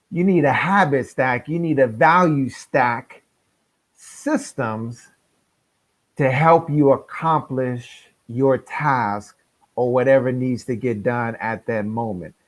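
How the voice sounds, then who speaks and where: This man has an American accent and a medium pitch, with ordinary pitch variation and a very slow pace. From San Francisco, California. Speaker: life coach. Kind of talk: interview. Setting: live stream.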